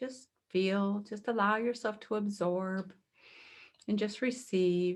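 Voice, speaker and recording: A soft-spoken woman at medium pitch, fairly even in intonation, very slow, with long, frequent pauses. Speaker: energy healing practitioner. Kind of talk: guided healing exercise.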